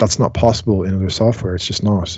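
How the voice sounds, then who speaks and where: A man with an Irish accent, somewhat breathy and fairly low in pitch, against a quiet background. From Ireland. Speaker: music technology tutor. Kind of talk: online class tutorial. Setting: video call. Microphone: video call.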